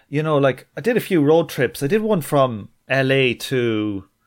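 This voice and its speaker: On a very clean recording with a silent background, a man with an Irish accent speaks at a moderate pace and medium pitch. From Ireland. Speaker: podcast host. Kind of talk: casual interview chat.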